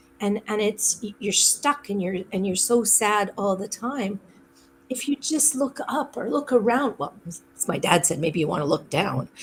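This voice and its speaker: With noticeable background noise, a woman speaks at a moderate pace and a medium pitch, using very wide pitch swings. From Canada (Saskatchewan). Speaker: podcast guest. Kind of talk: casual chat.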